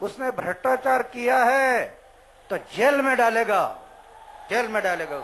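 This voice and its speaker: A man with an extremely high voice and lively intonation. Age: 70s. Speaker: anti-corruption activist. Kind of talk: public speech to a rally. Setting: outdoors.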